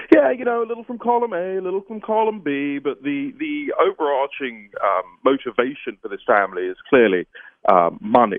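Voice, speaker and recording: A man speaks with a British accent at a fairly quick pace. His loudness swings widely. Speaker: political journalist. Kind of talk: interview.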